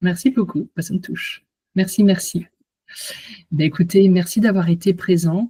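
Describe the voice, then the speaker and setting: Speaking at a fairly slow pace with long, frequent pauses, a woman uses a somewhat breathy voice of medium pitch, a dark, mellow tone, and fairly even intonation. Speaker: hypnotherapist and coach. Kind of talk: online conference wrap-up after hypnosis. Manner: soft-spoken.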